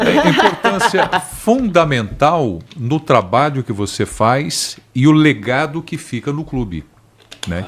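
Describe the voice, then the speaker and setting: This man speaks at a fairly high pitch and a fairly slow pace. His pitch swings very widely. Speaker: football pundit. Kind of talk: panel discussion.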